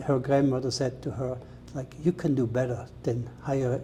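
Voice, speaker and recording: Moderate pace with a Swiss German accent. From Switzerland. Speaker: chef. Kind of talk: interview.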